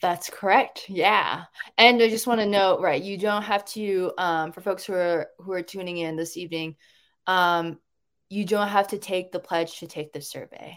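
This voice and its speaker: With a plain, everyday voice, a woman speaks at a moderate pace and medium pitch, her loudness swinging widely. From Washington State, US. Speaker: transgender rights advocate and national organizer. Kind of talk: interview answers. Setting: video call.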